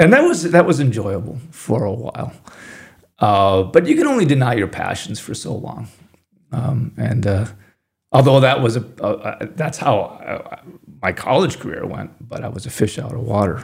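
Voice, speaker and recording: A somewhat breathy male voice at medium pitch, moderate pace, with long, frequent pauses. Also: lively intonation, big swings in loudness. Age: 50s. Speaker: sculptor. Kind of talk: interview conversation. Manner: halting, many fillers and repetitions.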